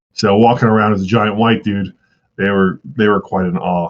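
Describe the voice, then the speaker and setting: A plain, everyday voice at a fairly quick pace. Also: man. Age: 30s. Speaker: former Buddhist monk. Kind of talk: interview storytelling. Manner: casual, many filler words.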